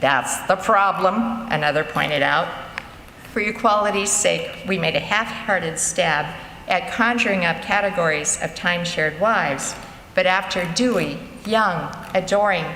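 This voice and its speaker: A woman of medium pitch speaks at a very even loudness, with audible room echo and noticeable background noise. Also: ordinary pitch variation, moderate pace. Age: 70s. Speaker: author and storyteller. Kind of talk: reading aloud of own humorous essays to a live audience. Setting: church concert with audience.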